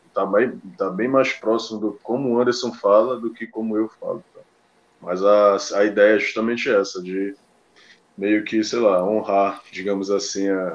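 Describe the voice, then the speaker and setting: With a Belém accent, a man speaks fairly slowly at a fairly low pitch, his intonation fairly even. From Belém, Pará, northern Brazil. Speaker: football pundit. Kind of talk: casual chat.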